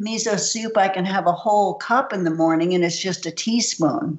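A woman talks in a plain, everyday voice. Her pace is moderate. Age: 60s. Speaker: nutritionist. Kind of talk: interview.

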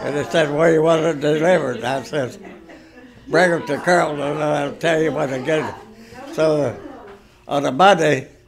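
Over noticeable background noise, a man speaks at a moderate pace in a fairly high pitch with ordinary pitch variation. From Ohio, USA. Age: 80s+. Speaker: retired bulldozer operator. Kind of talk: interview answer. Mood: calm reminiscing. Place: home room. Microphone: phone near.

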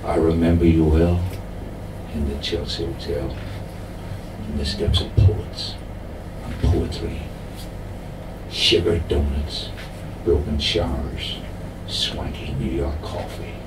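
A man's very deep, low voice at a very slow pace, with long, frequent pauses and noticeable background noise. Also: ordinary pitch variation. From Ireland. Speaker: poet reading own work. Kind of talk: poetry reading at a live pub showcase. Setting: pub venue, live audience. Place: bar.

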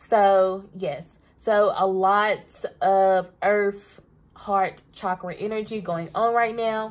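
A woman with a Southern US accent talks at a very slow pace. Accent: Southern US country. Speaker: tarot reader. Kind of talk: casual, profane, energetic. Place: home room. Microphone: phone near.

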